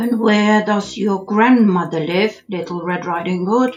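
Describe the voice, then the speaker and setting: A woman's gruff, put-on character voice at a medium pitch and moderate pace, with faint music in the background. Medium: read story. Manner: sly.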